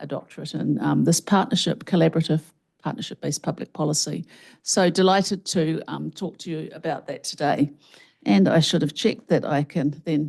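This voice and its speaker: A woman's very deep, low voice with vocal fry and ordinary pitch variation, at a moderate pace against a quiet background. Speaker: health researcher and professor. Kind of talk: keynote lecture. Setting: conference stage with audience and microphone.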